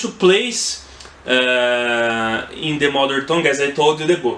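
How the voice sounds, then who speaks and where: A very slow-speaking man with noticeable noise behind him. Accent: Brazilian Portuguese. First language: Portuguese. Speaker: book reviewer. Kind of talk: casual book review monologue. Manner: halting, many fillers and restarts.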